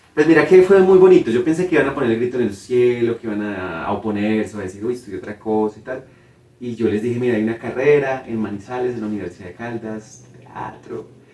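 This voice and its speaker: The speech comes at a very fast pace with lively intonation and big swings in loudness, over noticeable background noise. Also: man, medium pitch for a man. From Colombia, Cartago, Valle del Cauca (coffee region). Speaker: theatre director and playwright. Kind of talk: interview.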